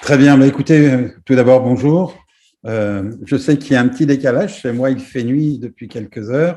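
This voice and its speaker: With a dark, mellow tone, a man at medium pitch speaks at a moderate pace with ordinary pitch variation. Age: 60s. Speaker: business executive. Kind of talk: presentation. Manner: halting, many hesitations.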